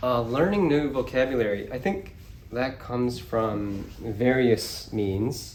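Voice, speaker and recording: Lively intonation carries the very slow speech, heard over noticeable background noise. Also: man, medium pitch for a man. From Kyoto, Japan. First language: English and Japanese. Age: 20s. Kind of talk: interview answer. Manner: casual, relaxed.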